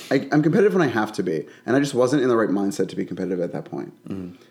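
With an American accent, a man talks at a very fast pace, his pitch swinging very widely. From Bensalem, Pennsylvania (Philadelphia area). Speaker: drag queen and wig stylist. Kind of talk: casual chat. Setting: guest's apartment kitchen.

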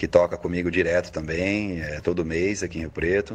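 A man talks at a moderate pace in a very deep, low voice. His intonation stays monotone and flat. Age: 30s. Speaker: musician. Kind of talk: interview.

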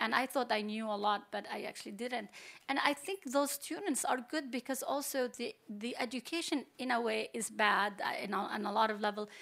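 Noticeable background noise sits behind the speech. A woman with a high pitch talks at a moderate pace with ordinary pitch variation. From Palestine. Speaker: computer science professor. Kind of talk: panel discussion.

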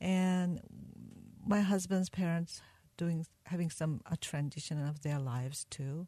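In a Korean accent, a woman speaks fairly slowly in a dark, mellow, somewhat breathy tone with ordinary pitch variation, the sound dry and close with no echo. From South Korea. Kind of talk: interview testimony. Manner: halting.

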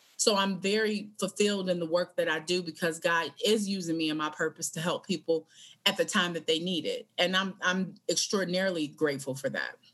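A woman talks in a plain, everyday voice, fairly low in pitch, at a fairly quick pace with fairly even intonation. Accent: American. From Michigan. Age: 40s. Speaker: podcast host and hospice educator. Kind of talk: casual interview.

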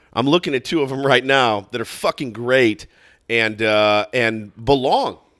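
On a very clean recording with a silent background, a man with a plain, everyday voice speaks fairly slowly at a medium pitch with ordinary pitch variation. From Texas. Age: 40s. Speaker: radio host. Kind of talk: casual chat.

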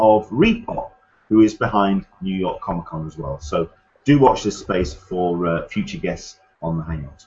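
The voice is somewhat breathy, with an English accent. It moves at a moderate pace. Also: man. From England. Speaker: podcast host. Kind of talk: casual chat. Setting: video call.

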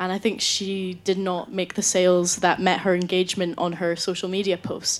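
A woman speaks in a Scottish accent at medium pitch and a moderate pace. Her intonation is monotone and flat, with hardly any pauses. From Scotland, Scottish Borders. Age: young. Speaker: university student, debate panelist. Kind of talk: debate speech.

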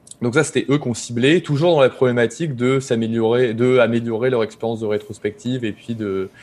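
A man talks at a fairly quick pace with fairly even intonation. His pitch sits in the medium range. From northern France, Pas-de-Calais (Boulogne-sur-Mer). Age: 30s. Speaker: software developer and startup cofounder. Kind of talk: podcast interview. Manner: hesitant, many fillers.

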